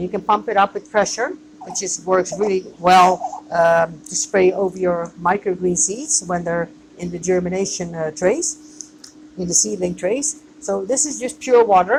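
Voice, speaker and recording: A woman with a non-native accent and lively intonation at a fairly slow pace, amid noticeable background noise. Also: medium pitch for a woman. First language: not English. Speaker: microgreens grower and business owner. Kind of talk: tutorial. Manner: hesitant, with fillers.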